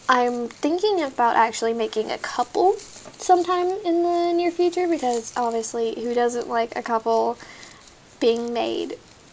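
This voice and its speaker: In an American accent, a woman talks at a fairly slow pace. Her pitch is high. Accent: occasional country Texas. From Texas. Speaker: gaming YouTuber. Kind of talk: gameplay commentary. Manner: talkative.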